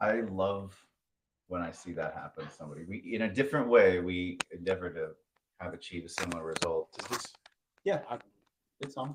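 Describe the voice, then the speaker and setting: A man's very deep, low voice at a fairly quick pace, with long, frequent pauses and big swings in loudness. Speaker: studio and creative venue owner. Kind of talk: live panel chat.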